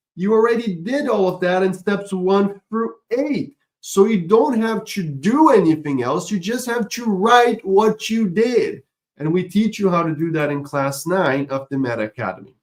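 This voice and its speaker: A man speaks with a non-native accent at a high pitch. His voice has very wide pitch swings. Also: moderate pace. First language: not English. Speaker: online course instructor. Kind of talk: webinar lecture.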